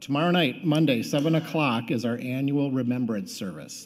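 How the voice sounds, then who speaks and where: At a moderate pace, a man with a fairly high pitch speaks in a normal speaking voice with ordinary pitch variation. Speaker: church announcer. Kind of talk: announcements. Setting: church.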